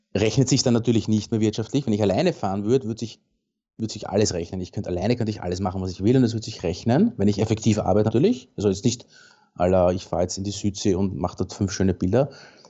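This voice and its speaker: A man with a fairly low voice speaks very fast. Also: ordinary pitch variation. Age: 40s. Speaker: landscape and commercial photographer. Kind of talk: casual interview.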